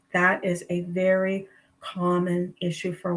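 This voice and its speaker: A woman speaks with a fairly low pitch. Her voice is somewhat breathy. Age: 60s. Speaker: registered nurse, health coach. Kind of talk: livestream interview. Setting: livestream video call.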